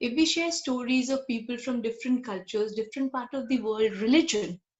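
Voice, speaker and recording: A woman talks with an Indian accent. Her pitch is high and her pace moderate. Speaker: guest speaker. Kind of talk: casual chat.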